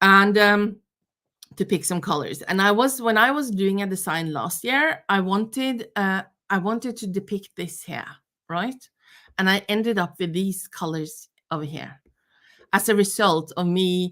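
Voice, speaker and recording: A woman speaks in a Norwegian accent at a fairly slow pace. Her medium-pitched voice has a bright, sharp tone and ordinary pitch variation. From Norway. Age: 50s. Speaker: knitting teacher. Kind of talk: online workshop lecture. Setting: live stream. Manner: hesitant, many fillers.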